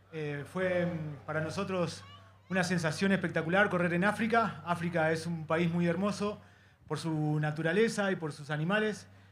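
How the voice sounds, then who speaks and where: Amid audible room echo, a man with a high pitch talks at a very fast pace and fairly even intonation. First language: Spanish. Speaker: rally driver. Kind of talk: post-race interview. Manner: hesitant.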